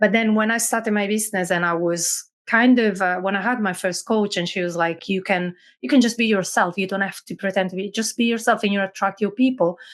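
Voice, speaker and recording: A woman with an Italian accent talks at a very fast pace in a medium pitch, her intonation fairly even against a quiet background. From Italy, Milan. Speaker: business owner, automation specialist. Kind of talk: podcast interview.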